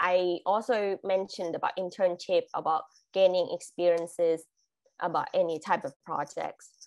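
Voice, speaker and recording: A woman with a Thai accent talks at a moderate pace over a quiet background. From Thailand. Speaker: international graduate, corporate employee; guest. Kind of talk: webinar presentation. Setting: video call. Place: home room. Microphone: video call.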